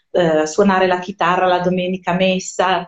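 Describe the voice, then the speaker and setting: This woman has a fairly low pitch. She talks at a fairly slow pace. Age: 40s. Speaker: Hebrew scholar, musician and writer. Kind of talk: casual interview. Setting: live stream.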